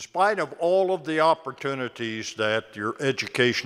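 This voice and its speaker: A man at a moderate pace with very wide pitch swings. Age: 80s+. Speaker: commencement speaker. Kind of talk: speech.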